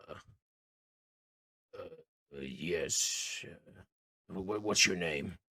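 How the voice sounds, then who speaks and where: A raspy, put-on character voice speaks at a very slow pace. Long pauses come often. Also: man, very deep, low pitch for a man. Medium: actual play.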